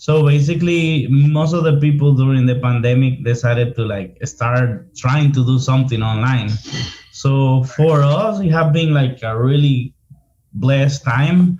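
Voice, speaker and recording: A man speaks with a Dominican accent at a fairly slow pace. His pitch is medium, with ordinary variation. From Dominican Republic, Santo Domingo. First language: Spanish. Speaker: marketing consultant. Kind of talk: casual interview.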